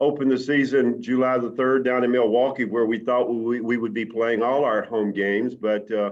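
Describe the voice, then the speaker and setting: At a moderate pace, a man talks at a medium pitch. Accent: Southern US. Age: 60s. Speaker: baseball team manager. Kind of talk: interview. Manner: halting.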